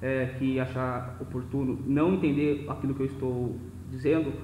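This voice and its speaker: There is audible echo from the room. The intonation is fairly even. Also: man. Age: 20s. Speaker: lecturer on philosophy of law. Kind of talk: lecture. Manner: fast; slightly slurred, occasional stutter.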